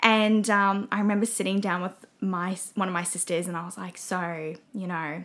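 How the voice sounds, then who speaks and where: With a plain, everyday voice, a woman speaks at a moderate pace with fairly even intonation and big swings in loudness. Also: medium pitch for a woman. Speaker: podcast guest. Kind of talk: casual chat.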